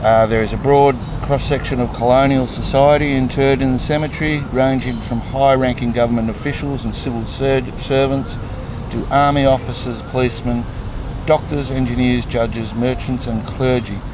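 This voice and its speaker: A man of medium pitch with an Australian accent, moderate in pace and monotone, flat in intonation, with audible room echo and noticeable background noise. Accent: Australian twang. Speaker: travel vlogger. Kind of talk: travel vlog with reading aloud of signs. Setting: outdoors. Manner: halting, mumbling.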